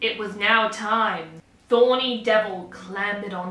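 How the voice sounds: A natural reading voice, its intonation fairly level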